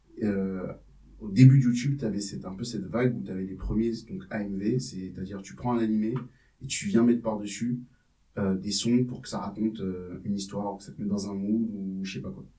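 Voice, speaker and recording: With music in the background, a man speaks at a fairly low pitch and a fairly quick pace. His loudness swings widely, while his pitch variation is ordinary. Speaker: rapper. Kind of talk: interview answer. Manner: casual.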